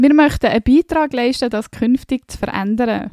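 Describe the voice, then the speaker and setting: A woman speaks in a high voice with a dark, mellow tone. The recording is dry and close with no echo. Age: 30s. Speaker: podcast co-host, IT manager. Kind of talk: scripted podcast intro.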